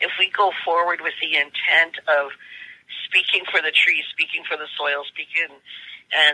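Fairly even intonation and a fairly low pitch mark a woman talking in a plain, everyday voice. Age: 60s. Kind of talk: interview.

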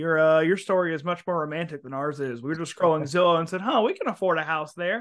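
A very fast man's voice, fairly high in pitch, with ordinary pitch variation. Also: hardly any pauses. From US South. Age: 20s. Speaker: podcast host. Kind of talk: casual interview chat.

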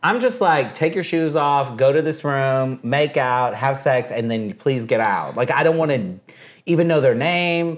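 On a very clean recording with a silent background, a man with a plain, everyday voice speaks at a fairly slow pace, his fairly high pitch showing ordinary pitch variation. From Texas. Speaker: radio host. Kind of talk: casual chat. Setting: at his home.

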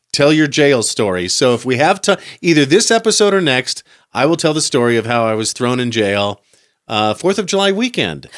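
Speaking at a moderate pace, a man with fairly high pitch makes very wide pitch swings, recorded very cleanly over a silent background. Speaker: podcast host. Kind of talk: casual chat.

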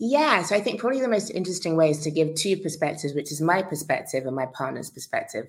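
In a London accent, a woman talks at a very fast pace with hardly any pauses, her fairly low pitch making very wide swings. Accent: British, London. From London, England. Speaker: founder, relocation platform. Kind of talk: interview conversation.

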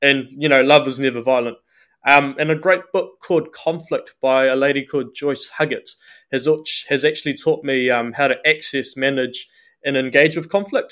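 In a New Zealand accent, this voice moves at a moderate pace with fairly even intonation, captured on a very clean recording against a silent background. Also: man, fairly high pitch for a man. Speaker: trainee priest. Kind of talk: casual interview.

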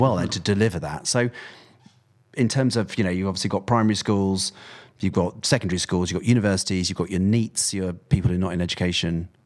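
A man's very deep, low voice at a very fast pace with fairly even intonation, on a very clean recording with a silent background. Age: 40s or 50s. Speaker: podcast host. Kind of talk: interview.

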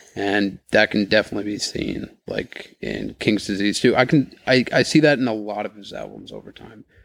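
This man speaks with an American accent, a fairly low pitch, vocal fry and ordinary pitch variation. His loudness swings widely, and he leaves hardly any pauses. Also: moderate pace, very clean recording, silent background. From New York, Rockland County. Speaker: wakeboarder. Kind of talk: casual chat.

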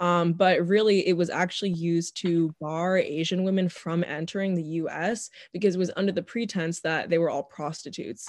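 With an American accent, a woman speaks in a plain, everyday voice, her fairly low pitch moving in fairly even intonation over a quiet background. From US, Northern Virginia. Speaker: podcast guest. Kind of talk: casual chat.

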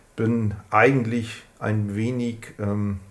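In a room with audible echo, a man speaks at a fairly low pitch. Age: 40s. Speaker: scooter enthusiast. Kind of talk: casual interview. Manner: hesitant, many fillers.

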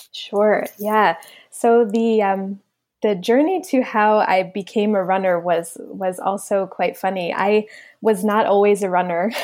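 A woman with an American accent speaks fairly slowly in an ordinary speaking voice, at medium pitch with fairly even intonation. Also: very even loudness. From New Jersey, Monmouth County. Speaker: pediatrician and running coach. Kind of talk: interview.

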